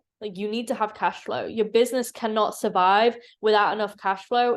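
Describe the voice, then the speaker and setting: The background is quiet. A woman talks with a fairly high pitch. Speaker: business coach YouTuber. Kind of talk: tutorial. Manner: fast; casual, animated.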